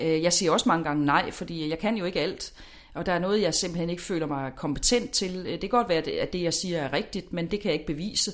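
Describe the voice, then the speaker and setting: Speaking at a fairly quick pace, a woman has a normal speaking voice with a fairly low pitch and ordinary pitch variation. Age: 40s. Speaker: lifestyle expert. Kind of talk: interview.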